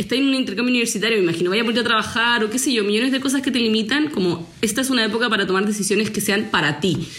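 Over noticeable background noise, a fairly high-pitched woman speaks at a very fast pace with hardly any pauses, ordinary pitch variation and very even loudness. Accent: Chilean. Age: 20s. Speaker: podcast host. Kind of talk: casual chat.

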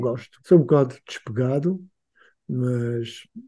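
This man's voice has a dark, mellow tone, sounds somewhat breathy, and shows ordinary pitch variation. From Angola. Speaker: freelance designer. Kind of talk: casual chat. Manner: halting.

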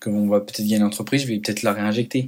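Here is a man with a fairly low pitch. His intonation stays fairly even. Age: 20s. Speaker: student entrepreneur podcaster. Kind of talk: solo podcast monologue. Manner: halting, many fillers.

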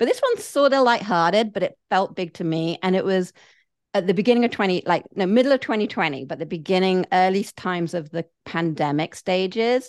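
Lively intonation marks a woman speaking at a medium pitch and a fairly quick pace. The background is quiet, and the sound is dry and close with no echo. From England. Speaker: business coach and podcaster. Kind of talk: casual interview chat.

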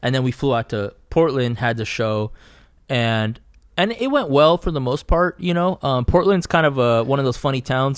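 Speaking fairly quickly in a Californian accent, a man shows ordinary pitch variation against a quiet background. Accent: Californian American English. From Southeast Fresno, California. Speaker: artist, painter. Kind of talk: casual chat.

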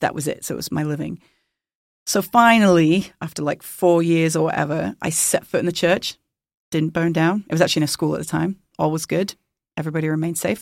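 In a very clean recording with a silent background, a woman with a husky, fairly low voice speaks at a fairly quick pace and with fairly even intonation. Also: dry, close sound with no echo. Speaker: worship leader. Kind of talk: casual chat. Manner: playful, joking.

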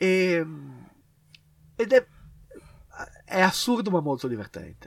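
At a very slow pace broken by long, frequent pauses, a man speaks in a high pitch with very wide pitch swings. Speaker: podcast co-host. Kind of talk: casual chat.

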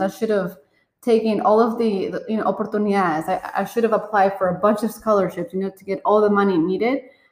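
A woman with a normal speaking voice at a medium pitch. She talks at a moderate pace with fairly even intonation. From Colombia. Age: 30s. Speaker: podcast co-host. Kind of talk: casual chat.

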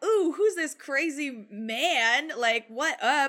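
A bright, sharp tone carries in a raised, projected voice, captured in a very clean recording with a silent background. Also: woman. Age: 20s. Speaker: film podcast guest. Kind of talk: casual chat.

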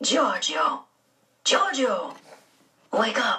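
A raspy, put-on character voice carries the whole clip. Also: woman. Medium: read story. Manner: simple phrasing, gentle.

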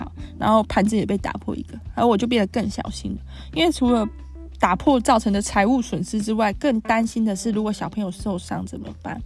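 A woman talks at a fairly quick pace with a Taiwanese accent. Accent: Taiwanese Mandarin. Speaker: podcast host. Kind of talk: casual monologue. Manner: chatty, many fillers.

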